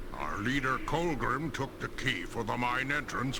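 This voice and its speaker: Over loud background noise, a man performs a put-on character voice at a fairly slow pace. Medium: video game. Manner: gruff, grave.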